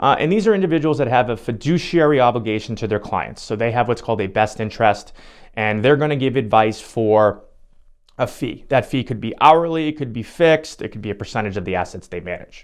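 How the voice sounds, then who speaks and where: Upbeat and lively in intonation, a man speaks at a very fast pace and medium pitch against a quiet background. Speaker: financial advisor. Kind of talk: educational talk to camera. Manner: casual, upbeat.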